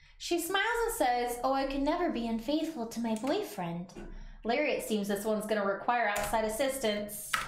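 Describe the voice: Lively intonation in a plain read-aloud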